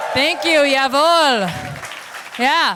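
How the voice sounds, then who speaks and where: Over crowd noise in the background, a woman talks at a fairly slow pace with a high pitch. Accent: American. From United States. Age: 40s. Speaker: stand-up comedian. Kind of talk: stand-up. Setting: stage with audience.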